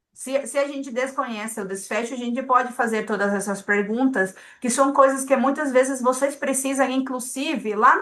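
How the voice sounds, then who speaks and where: At a moderate pace, a woman speaks in a high pitch with fairly even intonation. The background is quiet. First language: not Portuguese (speaking Portuguese). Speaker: statistical consultant. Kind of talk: lecture. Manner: hesitant, repeats words.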